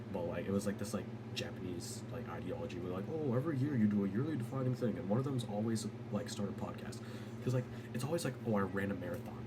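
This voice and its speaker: Someone talks at a very fast pace with ordinary pitch variation, amid noticeable background noise and audible room echo. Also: man, medium pitch for a man. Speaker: vlogger. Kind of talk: casual monologue. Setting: home at night. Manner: rambling, jumps topics.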